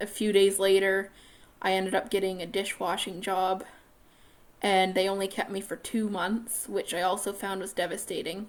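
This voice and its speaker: Medium in pitch, a woman's voice is heard. She speaks at a moderate pace. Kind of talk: personal video monologue. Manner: monotone.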